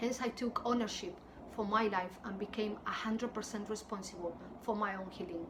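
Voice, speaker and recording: Over noticeable background noise, a woman with a strong Spanish accent speaks at a fairly high pitch with ordinary pitch variation. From southern Spain. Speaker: wellness coach, YouTuber. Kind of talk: personal testimony to camera.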